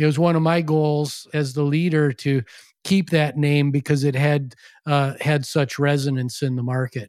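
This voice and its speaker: In an Upper Midwest accent, a man with a fairly high voice speaks at a moderate pace. His intonation is fairly even, on a very clean recording with a silent background. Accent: Upper Midwest American. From US Midwest, western Wisconsin (La Crosse). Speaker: former education company CEO and author. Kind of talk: interview.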